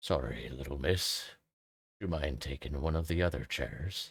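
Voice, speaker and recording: A put-on character voice from a man, raspy and very deep and low, with ordinary pitch variation and a moderate pace. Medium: virtual streamer. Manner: folksy, warm.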